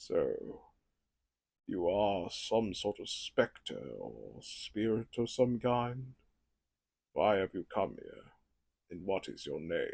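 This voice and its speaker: A man's put-on character voice, very slow, with long, frequent pauses and big swings in loudness. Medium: solo performance. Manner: measured, inquisitive.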